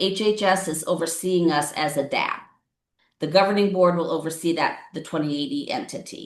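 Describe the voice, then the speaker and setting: Hers is a plain, everyday voice. The woman's pitch sits in the medium range and varies in an ordinary way. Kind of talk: public meeting presentation. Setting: county board meeting.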